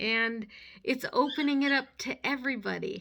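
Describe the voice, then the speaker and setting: A woman projects her raised voice at a high pitch with a bright, sharp tone. She speaks very slowly on a very clean recording with a silent background. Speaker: preacher giving a sermon. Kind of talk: sermon, casual preaching. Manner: conversational, with fillers.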